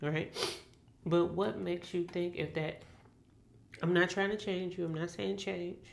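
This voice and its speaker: Recorded with audible room echo, a woman talks at a moderate pace with a fairly low pitch. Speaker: tarot reader. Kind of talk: tarot reading monologue. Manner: casual, rambling with self-corrections.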